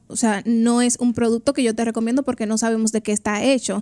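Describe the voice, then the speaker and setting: At a very fast pace, the speaker uses a dark, mellow tone with monotone, flat intonation against a quiet background. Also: woman. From Dominican Republic. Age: 20s. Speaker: trichologist and hair stylist; guest. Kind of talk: radio interview. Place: studio. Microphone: studio mic.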